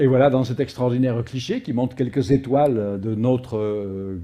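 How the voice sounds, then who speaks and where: With a Provençal accent, a man at medium pitch speaks at a moderate pace in a dark, mellow tone, his pitch varying in an ordinary way. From Provence, southern France. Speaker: astrophysicist. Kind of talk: public lecture. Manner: frequent hesitations (euh).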